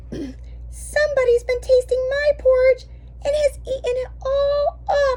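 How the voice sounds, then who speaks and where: Someone performs a put-on character voice. Background noise is clearly audible. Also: fairly slow pace. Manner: plaintive, crying out.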